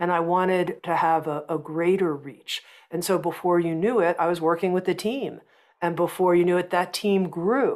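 In a quiet background, a woman speaks with a fairly low pitch and fairly even intonation. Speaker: publishing company founder. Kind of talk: interview conversation. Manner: slow, calm. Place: home room. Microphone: earbuds.

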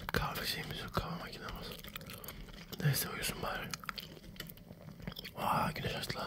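Whispering from a man at a moderate pace, with long, frequent pauses. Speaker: ASMR gamer. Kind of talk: casual gaming commentary. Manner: whispered, ASMR-style. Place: home room. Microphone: studio mic.

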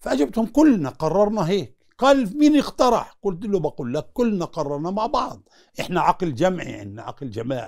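Against a quiet background, a man with a high pitch speaks at a moderate pace with hardly any pauses, very wide pitch swings and big swings in loudness. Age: 70s. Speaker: former prisoner. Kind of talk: interview. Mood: earnest, recounting prison hardship. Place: home room. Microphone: lapel.

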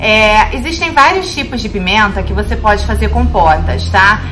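Clear music plays behind the woman's voice. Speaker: cooking channel host. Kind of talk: casual vlog chat. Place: kitchen. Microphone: phone near.

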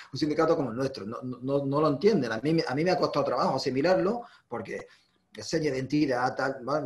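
A man speaks at a fairly quick pace with ordinary pitch variation. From Ceuta. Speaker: union workplace delegate; interviewee. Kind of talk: interview. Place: home room. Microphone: video call.

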